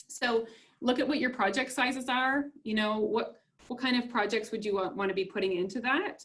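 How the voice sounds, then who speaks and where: Ordinary pitch variation runs through this woman's somewhat breathy speech. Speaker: business webinar presenter. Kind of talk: webinar presentation.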